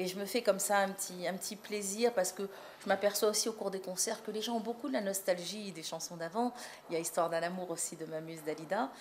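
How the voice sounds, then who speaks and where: A woman at medium pitch, speaking at a very fast pace. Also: ordinary pitch variation. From France, North African heritage. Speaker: singer. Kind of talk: interview. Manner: hesitant, many repetitions and fillers.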